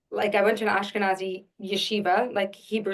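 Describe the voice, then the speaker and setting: A woman speaks in a New York accent. Her intonation is flat and monotone. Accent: New York American. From Long Island, New York. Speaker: actress and Yiddish singer. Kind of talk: casual interview.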